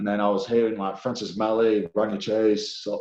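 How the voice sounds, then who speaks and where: A man's fairly low voice with a strong English accent, at a moderate pace and with fairly even intonation. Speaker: professional rugby league player. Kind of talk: casual interview chat. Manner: halting, many fillers.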